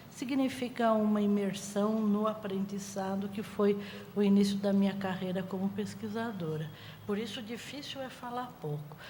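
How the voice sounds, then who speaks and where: The speech comes at a fairly slow pace with fairly even intonation, surrounded by noticeable background noise and audible room echo. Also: woman. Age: 60s. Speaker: music researcher. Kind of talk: panel talk.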